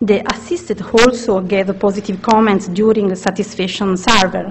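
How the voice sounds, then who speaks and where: With an Italian accent, a woman talks at a moderate pace and medium pitch, her intonation fairly even over noticeable background noise. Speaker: researcher. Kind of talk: conference presentation. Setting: conference session. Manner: halting.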